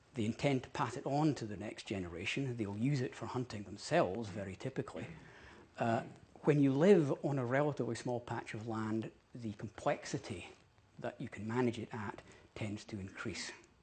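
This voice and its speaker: A man's somewhat breathy, medium-pitched voice moves at moderate speed with ordinary pitch variation. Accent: Scottish. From Scotland, Dundee. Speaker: ecologist. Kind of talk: public talk. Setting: parliament event with audience, live streamed.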